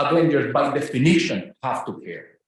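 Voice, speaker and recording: Audible room echo surrounds the speech. The man goes at a moderate pace. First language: Spanish. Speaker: professor. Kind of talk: academic lecture.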